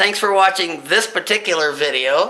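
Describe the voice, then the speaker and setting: A man projects a raised, high-pitched voice with ordinary pitch variation. Room echo is audible and background noise is noticeable. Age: 60s. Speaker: amateur artist and inventor. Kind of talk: casual presentation of own artwork. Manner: halting.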